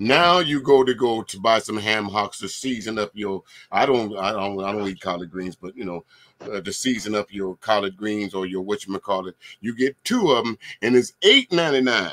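At a moderate pace, the voice shows ordinary pitch variation and big swings in loudness, in a dry, close sound with no echo. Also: man, fairly low pitch for a man. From US South. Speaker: DJ and livestream host. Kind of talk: casual panel discussion. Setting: video call livestream.

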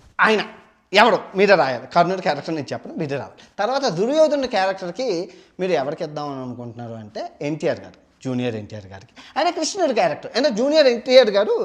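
High in pitch, a man's voice shows very wide pitch swings and big swings in loudness. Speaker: travel vlogger retelling mythology. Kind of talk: storytelling monologue. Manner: fluent nonstop single take.

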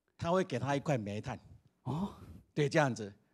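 Man with vocal fry and very wide pitch swings at a fairly quick pace, against a quiet background. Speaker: school principal. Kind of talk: interview.

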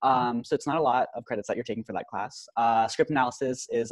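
Against a quiet background, a man with an American accent speaks at a very fast pace in a dry sound with no echo. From Irvine, California; California. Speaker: university student tour guide. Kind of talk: informational presentation. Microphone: video call.

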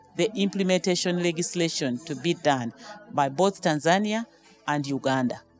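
At a fairly slow pace, a woman speaks in a fairly low voice with ordinary pitch variation, with a dry sound with no echo and faint music in the background. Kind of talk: interview answer. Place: hall. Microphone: handheld.

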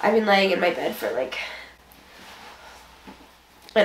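A woman's voice carries audible room echo. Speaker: vlogger. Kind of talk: casual vlog chat. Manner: sick, drowsy voice from under blanket. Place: home room. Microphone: camera far.

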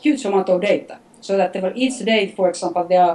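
The woman's pitch shows ordinary variation as she speaks. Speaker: interviewee. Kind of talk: interview answer. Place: home room. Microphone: video call.

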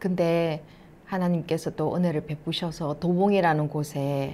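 A woman's fairly low voice at a very slow pace. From South Korea, Masan; South Korea. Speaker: missionary's wife; speaker. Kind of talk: testimony. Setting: online church meeting. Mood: calm, warm. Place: studio. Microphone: lapel.

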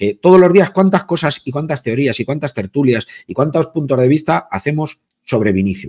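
An animated man speaks at a fairly quick pace with very wide pitch swings. The background is quiet. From Spain. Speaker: sports journalist. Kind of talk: casual debate. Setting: video call. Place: home room. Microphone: video call.

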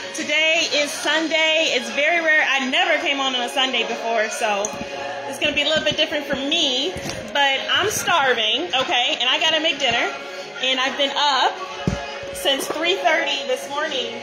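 Speech at a moderate pace comes with music playing in the background. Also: woman, high pitch for a woman, ordinary pitch variation. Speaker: home cook livestreamer. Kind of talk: casual vlog chat. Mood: cheerful, warm. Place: kitchen. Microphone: phone near.

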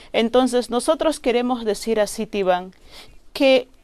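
Her voice sits at a fairly high pitch, with ordinary pitch variation, as the woman speaks. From northern Peruvian Amazon, Loreto. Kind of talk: interview. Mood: earnest, grave. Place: studio.

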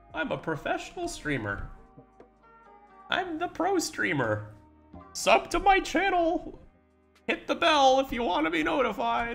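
A man's put-on character voice, extremely high in pitch, at a moderate pace with faint music in the background. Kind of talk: streamer catchphrases. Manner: hyped salesy.

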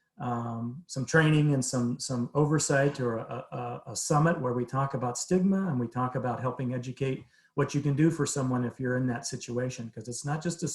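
A somewhat breathy man talks at a fairly quick pace. His pitch sits at a medium level. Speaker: behavioral health presenter. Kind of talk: presentation to city council. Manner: fast.

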